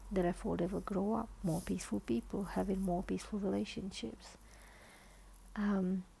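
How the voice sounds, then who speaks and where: At a moderate pace, a woman speaks quietly with very even loudness. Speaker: author and therapist. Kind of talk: informal talk after book reading. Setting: at home, dim lighting, child sleeping nearby. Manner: quiet, hushed.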